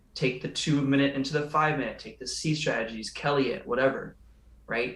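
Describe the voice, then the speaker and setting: Audible room echo follows a man speaking at a fairly high pitch. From California. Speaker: day trader and show host. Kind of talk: casual chat. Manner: fast; animated.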